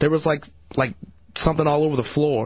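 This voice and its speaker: A man speaks in a fairly high voice. It sounds somewhat breathy. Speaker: radio intern. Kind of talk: casual chat. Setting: studio.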